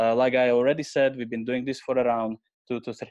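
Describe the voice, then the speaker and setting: A man is speaking. He has a Slovak accent. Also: quiet background. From Slovakia. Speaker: AI researcher, head of innovation. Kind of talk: webinar presentation. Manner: halting, many fillers.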